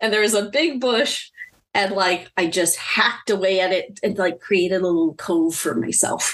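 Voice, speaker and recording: A woman with an American accent speaks in a normal speaking voice at a moderate pace. Her intonation is lively and her loudness very even. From Filipino American, USA. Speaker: clinical social worker. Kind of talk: casual chat. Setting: video call.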